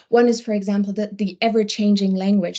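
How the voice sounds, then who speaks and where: With a non-native accent, a woman speaks at a medium pitch in a dark, mellow tone that is somewhat breathy, her intonation monotone and flat. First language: not English. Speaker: wellbeing program lead. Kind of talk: webinar panel discussion. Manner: halting, searching for words.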